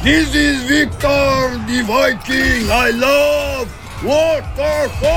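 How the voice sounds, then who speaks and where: Loud background noise surrounds a man speaking at a very slow pace. He uses a put-on character voice with an extremely high pitch. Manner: wild, exaggerated.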